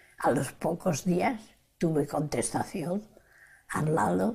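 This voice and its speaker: Fairly low-pitched speech from a woman at a very slow pace. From Spain. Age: 80s+. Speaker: Spanish Civil War exile and Stalingrad survivor. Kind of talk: interview answer.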